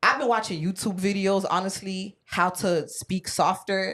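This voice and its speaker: Very clean recording, silent background. A woman speaks at a medium pitch. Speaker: podcast panelist. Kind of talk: casual chat. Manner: loud.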